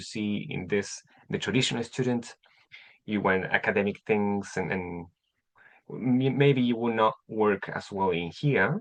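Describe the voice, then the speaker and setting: Speaking with a Chilean Spanish accent, a man uses a fairly low pitch and ordinary pitch variation. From Chile (Temuco). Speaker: English teacher. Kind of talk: online class. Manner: halting, many repetitions.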